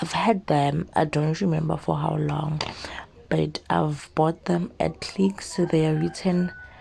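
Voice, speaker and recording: Noticeable background noise is heard in the clip. Against it, a woman talks at a very slow pace. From South Africa. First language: not English. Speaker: beauty YouTuber. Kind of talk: makeup tutorial voiceover. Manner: casual, halting with fillers.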